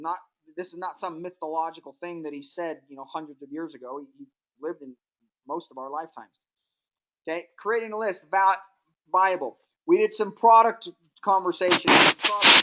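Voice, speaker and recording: Her fairly low voice carries a bright, sharp tone as this woman moves at a fairly quick pace with long, frequent pauses, ordinary pitch variation, and big swings in loudness. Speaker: network marketing trainer. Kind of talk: training webinar.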